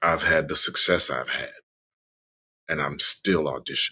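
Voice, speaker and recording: The tone is bright and sharp, with vocal fry. Delivery moves at a moderate pace. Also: man. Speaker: voice actor. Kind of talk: interview answer.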